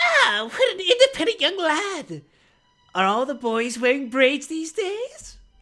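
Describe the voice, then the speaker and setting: A woman speaks in a put-on character voice, shrill and extremely high-pitched. Her pitch swings very widely at a fairly slow pace. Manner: quiet, teasing.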